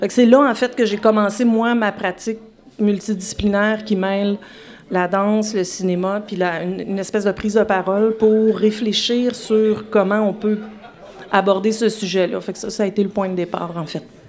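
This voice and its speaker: Noticeable background noise sits behind a woman talking at a moderate pace. Her medium-pitched voice is flat and monotone. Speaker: filmmaker and dancer. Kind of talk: interview. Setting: live show before audience in a bar.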